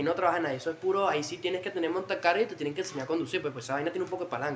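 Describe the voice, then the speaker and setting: A man talks at a very fast pace with a high pitch. He speaks with a Venezuelan accent. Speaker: podcast guest. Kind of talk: casual chat.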